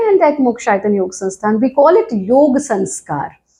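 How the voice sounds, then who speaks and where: With an Indian accent, a woman speaks in a dark, mellow tone, her pitch swinging very widely. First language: Hindi. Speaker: yoga teacher. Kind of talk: interview.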